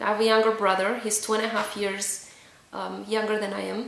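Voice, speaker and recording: A woman with a Romanian accent speaks in a fairly high pitch. Room echo is audible. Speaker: vlogger. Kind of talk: personal testimony. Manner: hesitant, many fillers.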